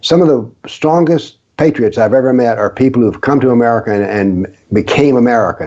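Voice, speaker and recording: The man has a medium pitch, a dark, mellow tone, and ordinary pitch variation. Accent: Southern US. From US South, rural. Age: 70s. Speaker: author on political Islam, former professor. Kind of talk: interview.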